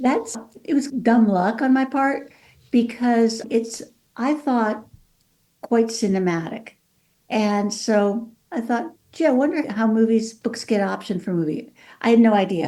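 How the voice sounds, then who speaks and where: A woman's fairly high-pitched, dark, mellow voice in a Californian accent, at a fairly slow pace with ordinary pitch variation. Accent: California. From Mexico City, then California. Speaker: author and lawyer. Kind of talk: podcast interview.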